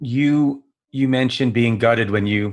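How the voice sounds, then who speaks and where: A man speaks with an American accent in a plain, everyday voice. His pace is fairly slow and his intonation fairly even. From US. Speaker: podcast host. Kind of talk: podcast interview. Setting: video call.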